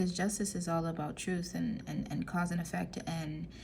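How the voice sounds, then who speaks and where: A woman speaks at a moderate pace with audible room echo around her. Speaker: tarot reader. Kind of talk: tarot reading monologue. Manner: casual, filler-heavy.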